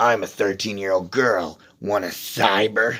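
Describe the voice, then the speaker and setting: In a put-on character voice, the speaker growls in a gruff tone at a moderate pace with fairly even intonation. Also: man, fairly low pitch for a man. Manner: creepy.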